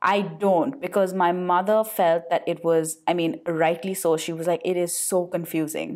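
A woman with an Indian accent speaks in a fairly low pitch with ordinary pitch variation. Her pace is moderate, with hardly any pauses. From India, Calcutta. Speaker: podcast co-host. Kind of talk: casual chat.

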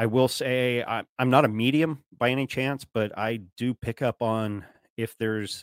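In a dry, close sound with no echo and a very clean recording with a silent background, a man with an ordinary speaking voice talks at a moderate pace and medium pitch, with fairly even intonation. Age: 40s. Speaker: podcaster. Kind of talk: casual chat.

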